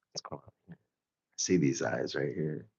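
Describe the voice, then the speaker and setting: Vocal fry marks this man's voice as he talks at a moderate pace. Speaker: artist live-streamer. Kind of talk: casual live-stream chat while drawing. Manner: loud; casual, filler-heavy.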